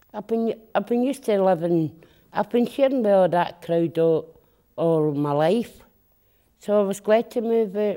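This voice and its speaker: At a moderate pace, the speaker uses lively intonation in a dark, mellow tone. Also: woman, medium pitch for a woman. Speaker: former long-stay hospital resident. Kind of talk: interview.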